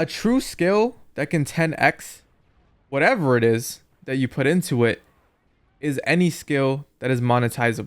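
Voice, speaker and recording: Speaking at a moderate pace in a plain, everyday voice, a man with a fairly high pitch uses lively intonation, recorded very cleanly against a silent background. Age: 20s. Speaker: YouTuber and entrepreneur. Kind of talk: casual commentary over gameplay.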